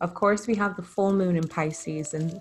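A woman talks with fairly even intonation over noticeable background noise. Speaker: host, spiritual healer. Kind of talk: intro, then guided breathing. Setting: live virtual call.

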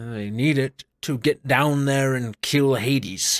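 A man does a put-on character voice at a fairly slow pace and medium pitch. The intonation stays fairly even, and the sound is dry and close with no echo. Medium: actual play. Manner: hostile, contemptuous.

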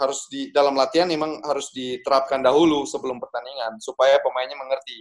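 At a fairly quick pace, a man speaks with a fairly high pitch and flat, monotone intonation. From Bali, Indonesia. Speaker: professional footballer. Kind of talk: casual interview.

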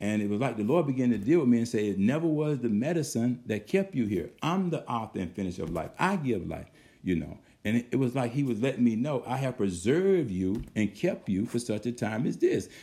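A man's medium-pitched voice, dark and mellow in tone, with very wide pitch swings. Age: 60s. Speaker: pastor. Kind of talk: sermon. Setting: video call. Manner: animated.

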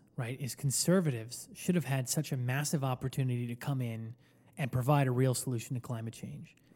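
In an American accent, a man speaks at a fairly quick pace with medium pitch, a dark, mellow tone, fairly even intonation and a somewhat breathy quality. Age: 20s. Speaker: podcast co-host. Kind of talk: casual chat.

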